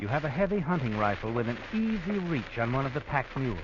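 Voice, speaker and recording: Over noticeable background noise, a man speaks at a fairly quick pace with very wide swings in pitch. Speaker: radio drama narrator. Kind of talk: 1940s radio drama narration, second person.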